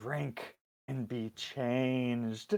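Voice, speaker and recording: This is a put-on character voice. It hisses. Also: man. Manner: eerie, hissing.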